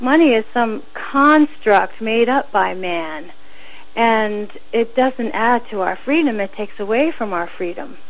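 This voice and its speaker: Over noticeable background noise, a woman with an American accent talks fairly slowly at a fairly high pitch with lively intonation. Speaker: war tax resister. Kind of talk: casual interview.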